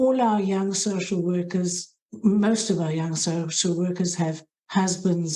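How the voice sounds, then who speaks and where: With a South African accent, a woman speaks in a fairly low, somewhat breathy voice. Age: middle-aged. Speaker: head of hospital social work. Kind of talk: interview. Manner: halting.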